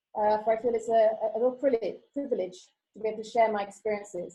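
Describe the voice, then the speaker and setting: Speaking with a British accent, a woman has a fairly high pitch and a dark, mellow tone, moving at a fairly quick pace with fairly even intonation. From UK, childhood in Costa Rica and Kenya. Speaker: teacher. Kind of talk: conference talk. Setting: online video presentation. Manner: hesitant, many fillers.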